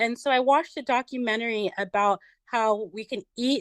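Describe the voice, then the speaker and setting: A woman with an unremarkable speaking voice talks at a moderate pace with a fairly high pitch and fairly even intonation. The sound is dry and close with no echo, over a quiet background. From United States. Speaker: vegan social media influencer. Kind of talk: podcast interview.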